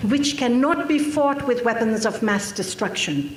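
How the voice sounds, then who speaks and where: Over noticeable background noise and audible room echo, a woman with a fairly high pitch speaks with lively intonation. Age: 60s. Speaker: activist speaker. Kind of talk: conference speech. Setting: stage with audience. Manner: formal.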